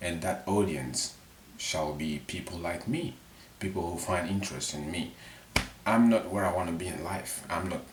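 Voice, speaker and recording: A man speaks at a fairly slow pace. Noticeable background noise runs beneath him. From Mali. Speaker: vlogger. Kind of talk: casual unscripted monologue to camera. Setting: his bedroom. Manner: halting, self-correcting.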